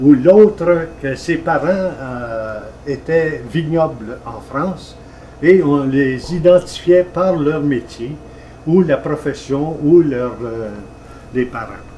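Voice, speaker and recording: A man whose voice is fairly high talks extremely slowly, with normal pitch movement, as clear background noise runs underneath. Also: big swings in loudness. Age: 80s+. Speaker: retired travelling salesman. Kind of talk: interview.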